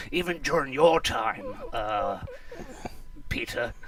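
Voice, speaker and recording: Clear background noise sits behind a man doing a put-on character voice. He goes at a fairly slow pace with a fairly high pitch. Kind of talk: mock TV sports commentary. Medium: comedy sketch. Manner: chirpy, eager.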